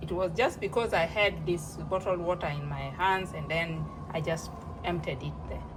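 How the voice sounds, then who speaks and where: A woman with a non-native accent at a fairly slow pace, amid noticeable background noise. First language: not English. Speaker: home cooking vlogger. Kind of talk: casual tutorial. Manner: halting.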